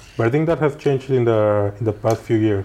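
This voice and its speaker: A man speaks at a moderate pace in a Spanish accent, his medium-pitched voice dark and mellow in tone. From Mexico. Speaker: podcast host. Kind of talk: interview.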